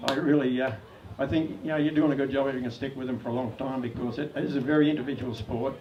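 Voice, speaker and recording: A man with an Australian accent, medium-pitched and fairly even in intonation, at a very fast pace, with audible room echo and noticeable background noise. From Australia, Sydney (Sans Souci). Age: 70s. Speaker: spearfishing club founder. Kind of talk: anniversary speech. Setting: club event with audience. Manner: casual, hesitant with fillers.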